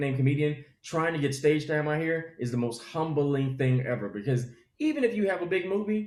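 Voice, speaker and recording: An animated, somewhat breathy man with an American accent and a fairly high pitch, talking at a very fast pace amid audible room echo. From US South. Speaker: comedian. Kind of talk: casual interview chat.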